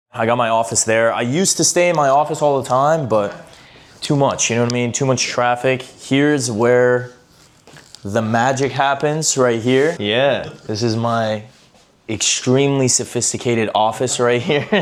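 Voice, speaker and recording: A man speaks with an American accent at a moderate pace, his pitch medium and his intonation fairly even. There is noticeable background noise behind him. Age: 20s. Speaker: business owner and content creator. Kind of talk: casual chat. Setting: at home in his apartment. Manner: casual, filler-heavy.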